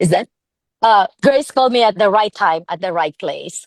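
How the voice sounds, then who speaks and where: A woman with a fairly high pitch speaks against a quiet background, the sound dry and close with no echo. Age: 60s. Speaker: product distributor giving a testimonial. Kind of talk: testimony. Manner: animated; halting.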